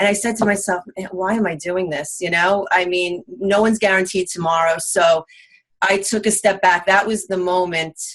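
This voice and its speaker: With a strong Long Island accent, a woman speaks at a medium pitch. Her pace is moderate and her intonation fairly even. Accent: thick Long Island. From US Northeast, Long Island, New York. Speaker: real estate investor. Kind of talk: interview. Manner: halting.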